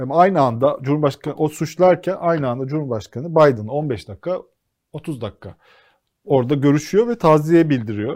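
With a normal speaking voice, a man talks at a moderate pace in a fairly high pitch. His intonation is lively, and the background is quiet. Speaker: TV co-host. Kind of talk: casual political talk show.

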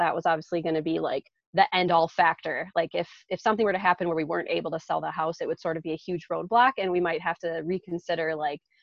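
This woman has a normal speaking voice. Her intonation stays fairly even as she talks at a fairly quick pace. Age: 30s. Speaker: full-time traveler and online entrepreneur. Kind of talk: casual interview.

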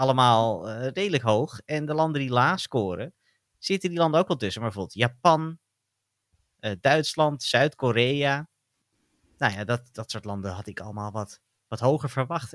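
The recording is very clean with a silent background, its sound dry and close with no echo. A man at medium pitch speaks at a moderate pace with lively intonation. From Netherlands. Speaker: podcast co-host. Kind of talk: casual chat.

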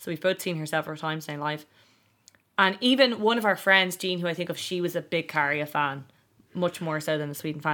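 A woman with an Irish accent has a fairly low pitch and a bright, sharp tone, with ordinary pitch variation. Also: fairly quick pace, very clean recording, silent background. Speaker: podcast host. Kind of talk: casual chat. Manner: animated.

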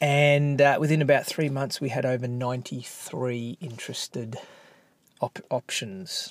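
Very slowly and with fairly even intonation, a man speaks in a medium pitch with an Australian accent. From Australia, Melbourne. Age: 40s. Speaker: entrepreneur. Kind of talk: casual interview.

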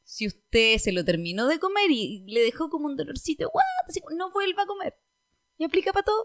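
A woman with a Chilean accent speaks at an extremely high pitch, with very wide pitch swings. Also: moderate pace. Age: 20s. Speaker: podcast host. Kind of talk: casual chat.

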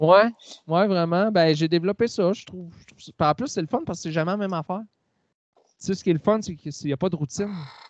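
A man's very fast speech with long, frequent pauses, high-pitched, with ordinary pitch variation and a Quebec accent, dry and close with no echo over a quiet background. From Quebec, Quebec City area. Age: 40s. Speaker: singer-songwriter. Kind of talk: interview.

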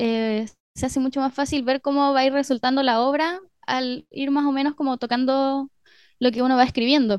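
A woman speaks at a high pitch and moderate pace, with fairly even intonation and very even loudness. The sound is dry and close with no echo, over a quiet background. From northern Chile (Arica, Mejillones). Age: 20s. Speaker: composer and musician. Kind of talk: radio interview. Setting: radio studio.

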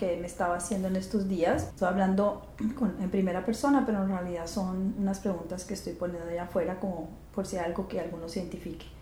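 Amid noticeable background noise and audible room echo, a woman speaks at a very fast pace. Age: 50s. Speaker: podcast host and astrologer. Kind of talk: reflective monologue.

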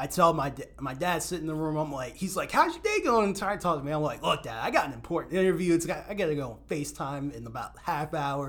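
A fairly high-pitched man with an American accent, at a very fast pace, with ordinary pitch variation, big swings in loudness, and hardly any pauses. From Maryland (Odenton). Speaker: lacrosse writer and content creator. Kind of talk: casual podcast interview.

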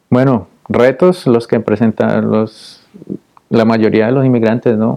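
A man's voice with fairly even intonation. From Colombia, Popayán. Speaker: dentist and business owner. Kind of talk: interview conversation. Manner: halting with repetitions.

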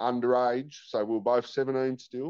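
A man speaks very slowly with an Australian accent at a medium pitch. The sound is dry and close, with no echo. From Tasmania, Australia. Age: 30s. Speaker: former prisoner turned rehabilitation worker. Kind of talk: testimony.

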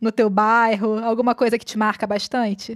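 A woman with an unremarkable speaking voice talks at a moderate pace with a fairly high pitch. The recording is very clean, with a silent background. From Brazil, Rio de Janeiro suburbs. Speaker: podcast host. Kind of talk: interview conversation.

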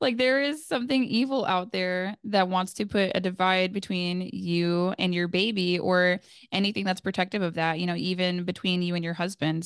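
Over a quiet background, a woman with an unremarkable speaking voice talks at a moderate pace in a medium pitch. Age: 20s. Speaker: new mother sharing breastfeeding story. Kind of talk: interview testimony.

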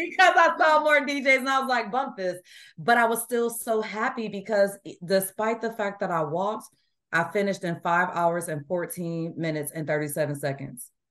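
Against a quiet background, someone with an American accent talks at a moderate pace, the pitch swinging very widely. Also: woman, medium pitch for a woman. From US Midwest. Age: 40s. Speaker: amateur runner. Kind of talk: casual interview. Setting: remote call.

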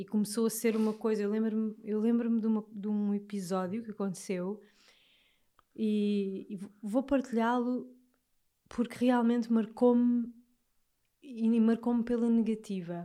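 A woman's fairly high voice with an Alentejo accent, dark and mellow in tone, monotone and flat, broken by long, frequent pauses. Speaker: podcast host. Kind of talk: casual chat.

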